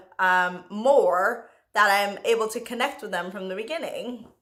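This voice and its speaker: Lively intonation runs through the speech of a woman with an American accent. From Jamaica, raised in the US. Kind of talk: casual talk to camera. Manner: hesitant, many fillers.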